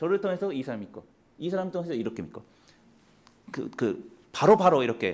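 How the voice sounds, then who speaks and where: With a high pitch, a man speaks at a fairly quick pace. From Japan. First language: Japanese (speaking Korean). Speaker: missionary. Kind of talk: mission report talk in church. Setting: church. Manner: halting.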